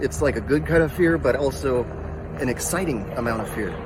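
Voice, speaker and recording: Noticeable background noise runs under this recording. The man's pitch varies in an ordinary way. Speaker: military veteran. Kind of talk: testimony. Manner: animated.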